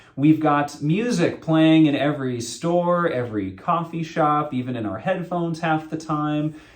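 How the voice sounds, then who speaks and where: Audible room echo surrounds a man with an American accent and a fairly high pitch. He keeps a moderate pace with hardly any pauses and ordinary pitch variation. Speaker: associate pastor. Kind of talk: sermon. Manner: loud.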